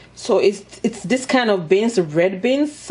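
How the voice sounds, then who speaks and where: Through noticeable background noise, a woman of medium pitch speaks with lively intonation. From Nigeria. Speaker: mukbang and cooking YouTuber. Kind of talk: casual cooking tutorial and eating show. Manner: chatty, animated.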